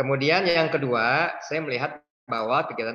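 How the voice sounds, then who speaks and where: The man's voice sits at a fairly high pitch with a bright, sharp tone. His pitch varies in an ordinary way. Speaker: donor; webinar guest. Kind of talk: casual interview. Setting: video call. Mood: warm, reflective. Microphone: video call.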